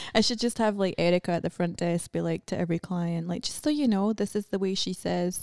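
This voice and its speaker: This woman speaks very fast with a Scottish accent and hardly any pauses. Her medium-pitched voice varies in pitch the usual amount, and the sound is dry and close with no echo. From Scotland. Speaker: podcast guest, cosmetic tattoo artist. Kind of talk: casual, profane.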